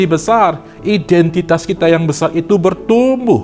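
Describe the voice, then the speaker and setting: A man's high pitch with ordinary pitch variation amid noticeable background noise. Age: 50s. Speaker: evangelist preacher. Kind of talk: sermon.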